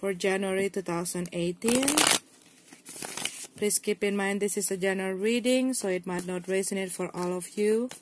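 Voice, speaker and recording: A woman speaks with an Indonesian accent at a moderate pace. Her intonation is fairly even, and there is noticeable background noise. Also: medium pitch for a woman. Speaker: tarot reader. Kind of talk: tarot reading to camera.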